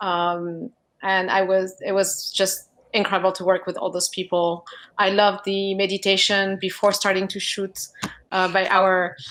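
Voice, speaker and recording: Speaking in a French accent, a woman keeps a moderate pace. Her medium-pitched voice is monotone and flat. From France. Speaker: film producer. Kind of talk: panel discussion.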